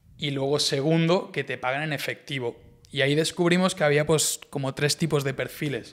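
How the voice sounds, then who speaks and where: Fairly high in pitch, a man's voice moves at a moderate pace. His intonation stays fairly even. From Spain, Barcelona; Catalonia, Spain. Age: 20s. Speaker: e-commerce entrepreneur; podcast guest. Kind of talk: casual interview chat. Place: studio. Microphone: studio mic.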